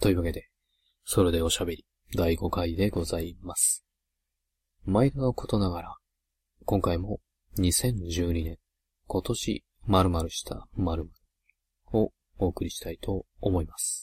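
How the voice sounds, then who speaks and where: A man speaks quietly and somewhat breathily at a fairly slow pace, with a very deep, low pitch and fairly even intonation. His loudness swings a lot, and he takes long, frequent pauses. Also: dry, close sound with no echo. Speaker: solo gaming podcaster. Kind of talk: casual solo monologue. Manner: quiet, subdued because of a late-night recording.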